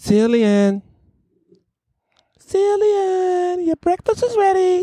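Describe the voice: In a put-on character voice, the speaker sounds squeaky and extremely high-pitched while talking at a very slow pace.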